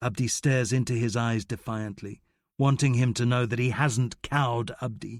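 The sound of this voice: An unforced reading voice with fairly even intonation and a quiet background.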